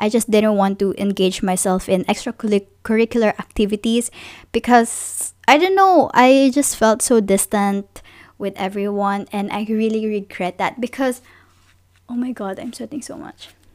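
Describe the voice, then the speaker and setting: A woman with a plain, everyday voice speaks with ordinary pitch variation and big swings in loudness, on a very clean recording with a silent background. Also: fairly high pitch for a woman, moderate pace. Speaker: podcast host and YouTuber. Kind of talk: casual monologue.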